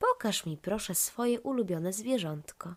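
The speaker's pitch swings very widely at a fairly slow pace. The recording is very clean, with a silent background. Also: woman. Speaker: storyteller. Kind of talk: children's bedtime story narration.

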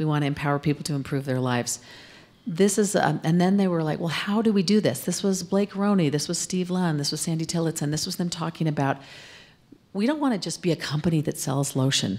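Talking at a very fast pace with an American accent, a woman has a fairly low pitch and ordinary pitch variation. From Arizona, US. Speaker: corporate communications executive, former TV news anchor; interview guest. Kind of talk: interview on stage. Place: studio. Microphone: handheld.

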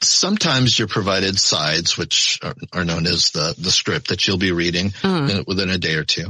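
A man speaks with a very deep, low pitch and ordinary pitch variation. He keeps a moderate pace with hardly any pauses, over noticeable background noise. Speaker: voice actor. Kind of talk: interview answer.

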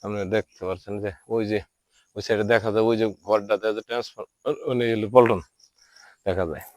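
With fairly even intonation, a man speaks in an unremarkable speaking voice, the sound dry and close with no echo. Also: fairly low pitch for a man. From Bangladesh, Tangail district. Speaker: local council member and vlogger. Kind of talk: walking video tour. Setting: outdoors in village.

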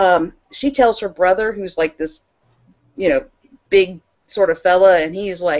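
Against a quiet background, a woman speaks at a moderate pace with long, frequent pauses. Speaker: podcast co-host. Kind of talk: casual conversation, retelling a film plot. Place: home room. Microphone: earbuds.

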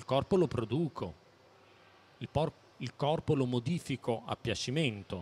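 Speaking at a fairly slow pace, a man has a somewhat breathy voice. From Naples, southern Italy; southern Italy. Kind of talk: public talk. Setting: stand at a public fair with audience. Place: hall. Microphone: handheld.

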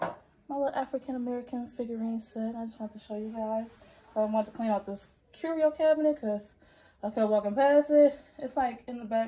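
A woman's voice with lively intonation. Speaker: home vlogger. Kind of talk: casual vlog chat. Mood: warm, cheerful. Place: home room. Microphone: phone near.

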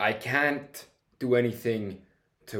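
Against a quiet background, a man speaks with a Finnish accent and fairly even intonation. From Finland. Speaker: triathlete and speaker; guest. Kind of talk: casual interview. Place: home room.

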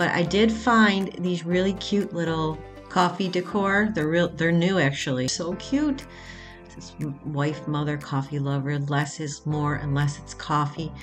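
With faint music in the background, a woman speaks at a fairly slow pace in a fairly low pitch with ordinary pitch variation. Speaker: shopping vlogger. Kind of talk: casual vlog chat. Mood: enthusiastic, upbeat. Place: shop. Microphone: phone near.

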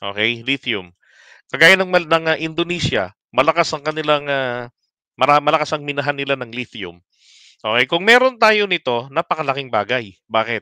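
Bright and sharp in tone, a man with a fairly high pitch and lively intonation speaks at a moderate pace, the sound dry with no echo. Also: quiet background. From Philippines. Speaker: political commentary livestreamer. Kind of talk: live stream commentary. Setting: late-night live stream.

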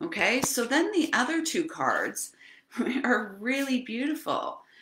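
High in pitch, a woman talks at a very slow pace with audible room echo around her. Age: 50s. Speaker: spiritual channel host, card reader. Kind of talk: live stream oracle card reading. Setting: live video stream. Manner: casual, rambling with fillers. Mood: warm, earnest. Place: home room. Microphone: webcam.

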